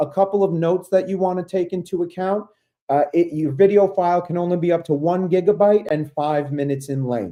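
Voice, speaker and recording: A man with a New York accent, high-pitched for a man, at a fairly quick pace and with a dark, mellow tone. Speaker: ed tech coach, presenter. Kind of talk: webinar tutorial. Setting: online webinar. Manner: fast; animated.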